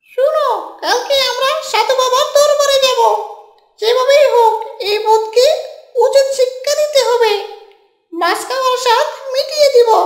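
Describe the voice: This cartoonish character voice sounds female and sits at an extremely high pitch. It moves at a fairly slow pace with a slight echo.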